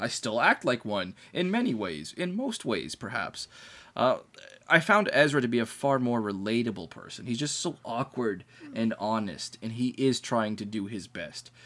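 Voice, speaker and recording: A man with an ordinary speaking voice talks at a medium pitch and a moderate pace, his intonation lively. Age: 20s. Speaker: podcast host. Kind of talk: casual chat.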